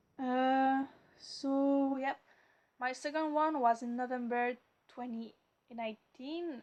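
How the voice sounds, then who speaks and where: A woman talks at a very slow pace with long, frequent pauses. Her intonation is monotone and flat. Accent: French Canadian. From Quebec. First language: French. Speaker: mental health vlogger. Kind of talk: personal video blog. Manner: halting, many fillers and stuttering.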